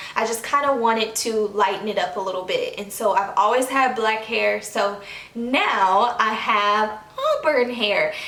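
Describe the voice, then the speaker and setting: A woman with a fairly high pitch speaks at a fairly slow pace and fairly even intonation, with audible room echo and noticeable background noise. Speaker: beauty vlogger. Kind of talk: casual vlog talk to camera.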